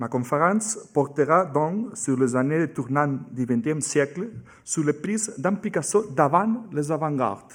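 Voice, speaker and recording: Recorded very cleanly against a silent background, a man speaks at a fairly slow pace with very wide pitch swings. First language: Catalan or Spanish (speaking French). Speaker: museum curator giving a talk. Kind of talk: lecture. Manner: halting, with hesitations.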